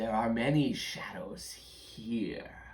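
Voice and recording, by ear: A man's raspy, put-on character voice at a medium pitch, over light background noise.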